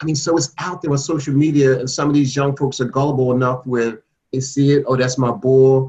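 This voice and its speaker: A man with an American accent talks at a very fast pace. His medium-pitched voice sounds somewhat breathy. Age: 60s. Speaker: state legislator. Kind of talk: panel discussion.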